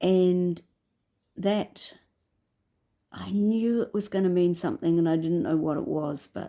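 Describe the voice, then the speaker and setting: A woman with a New Zealand accent speaks at a very slow pace, her fairly low voice dark and mellow in tone. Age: 70s. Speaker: vlogger. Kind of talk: personal reflective monologue. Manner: halting.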